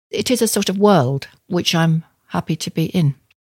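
This woman's fairly low voice has a dry, close sound with no echo. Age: 70s. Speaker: ceramic artist. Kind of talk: interview.

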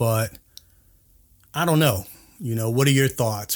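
Recorded very cleanly against a silent background, a man talks at medium pitch with ordinary pitch variation. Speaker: podcast host. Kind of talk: angry rant; casual storytelling monologue. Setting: solo podcast. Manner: heated, indignant, emphatic; conversational, filler-heavy.

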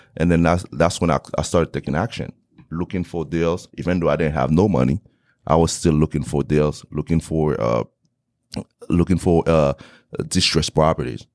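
With a Haitian accent, a man at a very deep, low pitch uses vocal fry at a moderate pace with long, frequent pauses, in a dry, close sound with no echo. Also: ordinary pitch variation. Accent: Haitian Creole-accented English. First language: Haitian Creole. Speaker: real estate investor. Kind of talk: interview.

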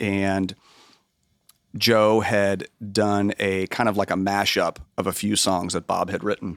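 Monotone and flat, a man with an American accent and a fairly low pitch speaks at a very slow pace on a very clean recording with a silent background and a dry, close sound with no echo. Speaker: music producer and engineer. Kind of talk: casual interview.

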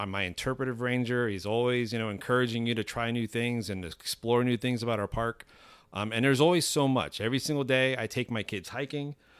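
A plain, everyday voice with an American accent at a fairly quick pace, on a very clean recording with a silent background. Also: man. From Miami, Florida. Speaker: state park manager. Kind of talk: casual interview. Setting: on location at a state park.

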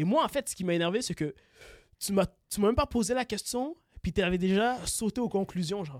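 A man's high voice at a fairly quick pace, with lively intonation and long, frequent pauses, recorded very clean with a silent background and a dry, close sound with no echo. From Congolese heritage. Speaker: podcast co-host. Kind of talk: casual chat. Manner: stammering.

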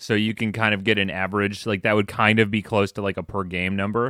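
The tone is bright and sharp, the intonation monotone and flat, the pace fairly quick. The recording is very clean with a silent background. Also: man. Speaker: podcast co-host, hockey analyst. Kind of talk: casual chat. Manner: fast talker.

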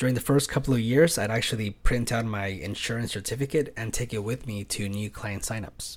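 A man with an American accent speaks at a moderate pace in a medium, somewhat breathy voice with ordinary pitch variation. The recording is very clean, with a silent background. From California. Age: 30s. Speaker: podcast host and pet sitter. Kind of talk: casual monologue.

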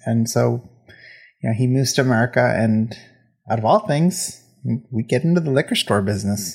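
Somewhat breathy, a man talks at a fairly quick pace but with long, frequent pauses. His pitch is medium, with ordinary variation. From England, Indian family. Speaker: podcast host. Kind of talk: personal monologue. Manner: hesitant, repeats words.

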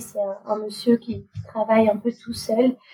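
Amid noticeable background noise, a woman speaks at a fairly high pitch with monotone, flat intonation. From Normandy, France. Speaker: refugee protection worker and bike traveller. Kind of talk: casual interview.

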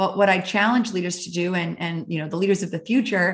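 A woman's unremarkable speaking voice, medium in pitch with ordinary pitch variation, against a quiet background. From Canada (Calgary, Alberta). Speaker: author and happiness coach. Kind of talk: interview.

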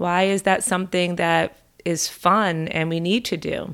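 In an ordinary speaking voice, a woman talks at a fairly slow pace with a fairly low pitch and fairly even intonation. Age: 50s. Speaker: mental health counselor and podcast host. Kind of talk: solo podcast monologue.

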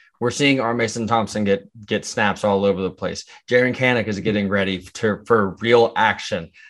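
In an ordinary speaking voice, a man with a fairly low pitch talks at a moderate pace with fairly even intonation and hardly any pauses, the background quiet. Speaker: podcast co-host.

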